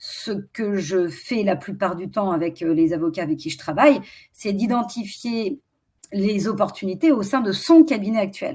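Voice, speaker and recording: The voice has a dark, mellow tone, is somewhat breathy, and moves at a fairly slow pace with lively intonation. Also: woman, medium pitch for a woman. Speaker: strategy consultant for lawyers. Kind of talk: webinar presentation. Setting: online webinar.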